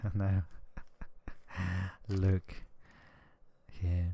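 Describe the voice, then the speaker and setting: Soft-spoken and somewhat breathy, a man talks in a very deep, low pitch with a gentle, dark, mellow tone and ordinary pitch variation. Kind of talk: ASMR relaxation talk. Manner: soft-spoken, gentle.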